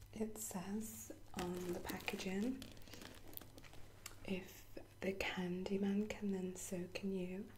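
Soft-spoken and whispering, a woman talks at a very slow pace with very even loudness over noticeable background noise. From UK. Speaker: ASMR creator. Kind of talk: ASMR unboxing, soft-spoken talk to camera. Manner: soft-spoken, whispery. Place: home room. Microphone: webcam.

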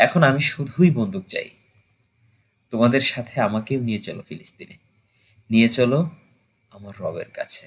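A man talks at a medium pitch with ordinary pitch variation and a somewhat breathy quality. His volume rises and falls sharply. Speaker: amateur poetry reciter. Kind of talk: poetry reading.

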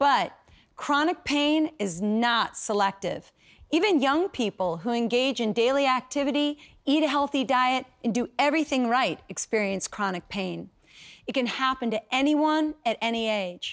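The background is quiet as a woman speaks at a high pitch. Her intonation is lively. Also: moderate pace. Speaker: program host, method creator. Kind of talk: infomercial presentation. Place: studio. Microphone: lapel.

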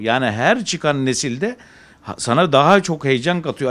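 A man's voice at a moderate pace, with very wide pitch swings. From Izmir, Turkey. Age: 40s. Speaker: pigeon breeder. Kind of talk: interview. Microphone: handheld.

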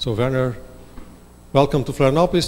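A man talks in a Portuguese accent, his pitch varying in an ordinary way. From Brazil. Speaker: university professor, event moderator. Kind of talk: moderated Q&A. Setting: lecture hall with audience, livestreamed. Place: classroom. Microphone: handheld.

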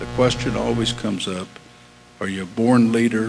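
Noticeable background noise behind a man speaking in an American accent. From US Midwest. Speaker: railroad executive. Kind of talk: speech. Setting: stage with audience.

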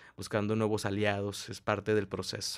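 A man speaks at a fairly low pitch. The background is quiet. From Mexico. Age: 20s. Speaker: entrepreneur, business incubator director; interview guest. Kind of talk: interview. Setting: coworking space. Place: studio. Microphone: studio mic.

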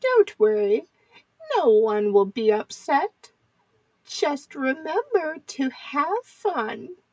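A woman talks very slowly in a high pitch, with long, frequent pauses. Her pitch swings very widely. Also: dry, close sound with no echo. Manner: sweet, gently teasing.

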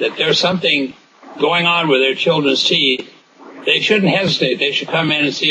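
Noticeable background noise runs through the clip. The speaker is a man. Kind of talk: interview answer. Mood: calm, reassuring. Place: office. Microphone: video call.

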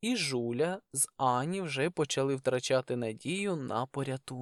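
Lively intonation runs through the passage. It is read in a natural reading voice.

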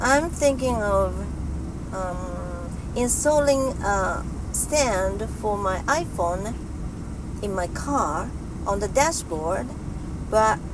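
A woman's very slow speech with long, frequent pauses, a dry sound with no echo, and noticeable background noise. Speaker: vlogger. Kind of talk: casual vlog chat. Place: car. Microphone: phone near.

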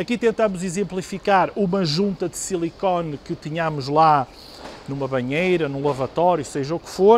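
Against light background noise, a man's high voice has ordinary pitch variation and big swings in loudness. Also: moderate pace. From Portugal. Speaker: product representative. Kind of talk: product demonstration. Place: shop. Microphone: lapel.

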